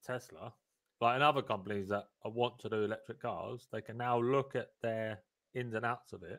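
Medium-pitched, fairly even in intonation: an unremarkable speaking voice from a man. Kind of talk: casual live panel discussion. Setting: live stream, online.

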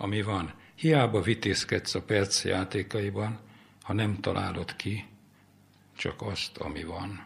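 Somewhat breathy and fairly low in pitch, a man speaks at a very slow pace with ordinary pitch variation and long, frequent pauses. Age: 80s+. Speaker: poet. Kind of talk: reading aloud.

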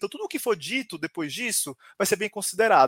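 Speaking at a very fast pace, a man has a high pitch and an animated tone. The sound is dry and close, with no echo. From São Paulo, Brazil. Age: 20s. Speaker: HR professional and creativity speaker. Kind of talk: live-stream talk.

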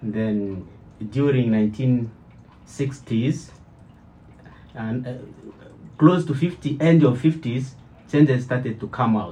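A man speaks very slowly, at medium pitch, in a dark, mellow, somewhat breathy voice. Long, frequent pauses punctuate his ordinary pitch variation. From DR Congo (Kinshasa). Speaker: church member and former preacher. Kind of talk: testimony. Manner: halting.

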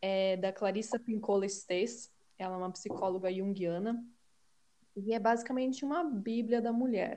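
A woman with a dark, mellow tone speaks at a fairly slow pace, her medium pitch showing ordinary variation. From Brazil, Curitiba. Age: 20s. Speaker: podcast co-host. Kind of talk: casual chat.

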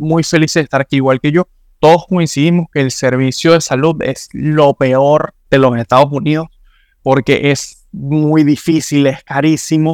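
This is a man with an unremarkable speaking voice and fairly even intonation. He goes at a moderate pace, and the sound is dry and close with no echo. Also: very clean recording, silent background. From Venezuela. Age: 20s. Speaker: immigrant guest. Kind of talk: casual interview chat.

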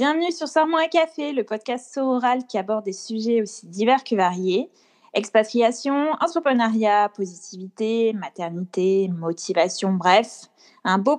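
A woman talks at a fairly high pitch with very wide pitch swings and a fairly slow pace. The sound is dry and close, with no echo. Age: 20s. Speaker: podcast co-host, accountant. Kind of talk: casual chat.

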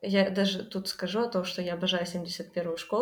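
This woman has a plain, everyday voice at a medium pitch. She talks at a moderate pace. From Ukraine, Kryvyi Rih. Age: 20s. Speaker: university dropout sharing life experience. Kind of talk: casual interview.

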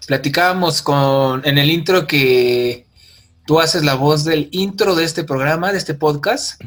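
This man speaks with a Mexican accent at a fairly slow pace. His pitch is fairly high, with ordinary variation. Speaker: podcast host. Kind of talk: casual chat. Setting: video call.

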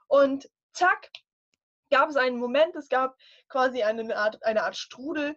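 A woman speaks at a fairly slow pace with a high pitch. Her pitch moves in an ordinary way. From northern Germany. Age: 20s. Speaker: life coach. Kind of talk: casual interview chat.

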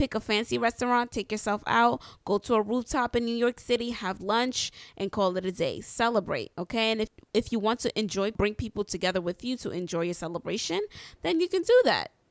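A woman's fairly high, animated voice with ordinary pitch variation in a very clean recording with a silent background. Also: fairly quick pace, dry, close sound with no echo. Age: 20s. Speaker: podcast host and entrepreneur. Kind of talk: motivational talk.

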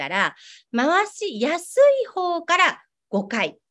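A woman speaks in a high voice with very wide swings in pitch. The recording is very clean, with a silent background. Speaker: acupuncturist and prenatal care salon owner. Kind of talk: interview; exercise tutorial.

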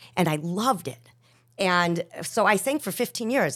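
A woman with an unremarkable speaking voice talks in an American accent at medium pitch and a moderate pace, with ordinary pitch variation, on a very clean recording with a silent background. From Chicago, West Rogers Park. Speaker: singer. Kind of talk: casual chat.

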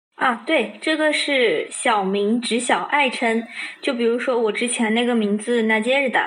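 Against noticeable background noise, a woman speaks at a high pitch and a fairly slow pace with ordinary pitch variation. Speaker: Russian language student. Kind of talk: casual chat. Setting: video call.

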